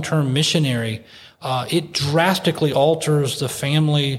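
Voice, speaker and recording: A man's fairly high-pitched voice, somewhat breathy. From United States. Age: 40s. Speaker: missionary. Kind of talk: casual chat.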